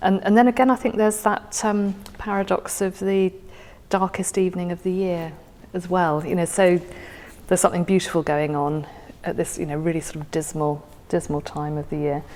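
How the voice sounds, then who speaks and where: Speaking at a fairly quick pace, a woman uses a fairly low pitch. Her pitch variation is ordinary. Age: 50s. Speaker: guest sharing a favourite poem. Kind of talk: casual conversation about poetry. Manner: halting, many fillers and repeats.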